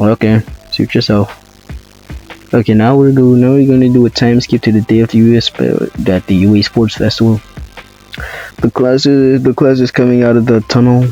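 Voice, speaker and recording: Over music in the background, a man speaks at medium pitch and a moderate pace in a flat monotone with very even loudness, long, frequent pauses, and a dry, close sound with no echo. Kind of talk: casual narration of a fan story.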